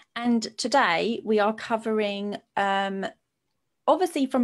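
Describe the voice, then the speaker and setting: A woman talks at a fairly slow pace in a plain, everyday voice with ordinary pitch variation. The recording is very clean, with a silent background. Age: 30s. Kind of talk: live-streamed interview discussion.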